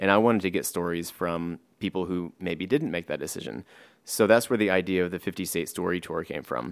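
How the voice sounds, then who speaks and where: A man with an American accent speaks in a very deep, low voice with vocal fry and ordinary pitch variation. His pace is fairly quick, and the recording is very clean with a silent background. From Texas. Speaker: nonprofit founder. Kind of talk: interview.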